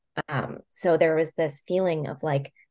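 A woman's normal speaking voice, fairly low in pitch, at a moderate pace against a quiet background. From Puerto Rico, moved to mainland US at about thirteen. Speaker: transit advocate speaker for caregivers. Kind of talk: casual interview chat.

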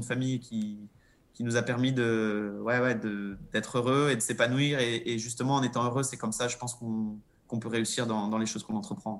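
A man's fairly quick, medium-pitched delivery in a monotone, flat intonation. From Monaco. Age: 30s. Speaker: professional cyclist. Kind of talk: interview. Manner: hesitant.

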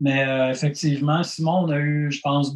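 Speaking with a Quebec accent, a man talks at a fairly slow pace with a fairly high pitch and fairly even intonation. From Quebec, Granby. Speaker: punk rock musician. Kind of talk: casual interview.

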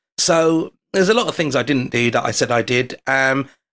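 Speaking at a moderate pace, a man with a London accent uses a medium pitch. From London, England. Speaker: foreign correspondent and amateur magician. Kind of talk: casual chat. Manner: animated storytelling.

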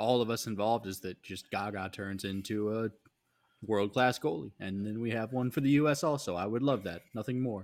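An ordinary speaking voice moves along at a fairly quick pace, its pitch varying in an ordinary way. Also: man. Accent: American. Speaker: soccer podcast co-host. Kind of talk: casual chat.

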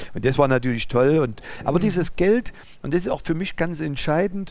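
This man talks with lively intonation. His voice sits high in pitch. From East Germany (former GDR). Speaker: business owner, driving school. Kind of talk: interview conversation. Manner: halting.

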